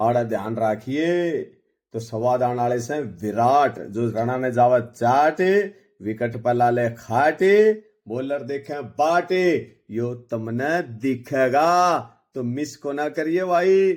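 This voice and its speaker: On a very clean recording with a silent background, a man in a Haryana accent speaks at a medium pitch with an energetic tone and lively intonation. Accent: Haryanvi. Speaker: cricket commentator. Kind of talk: cricket match preview. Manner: energetic, rhyming.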